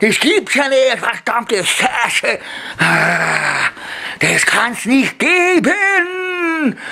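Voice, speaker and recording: Putting on a character voice with an extremely high pitch, a man speaks at a very slow pace over light background noise. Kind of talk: comedic character performance. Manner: agitated, cursing.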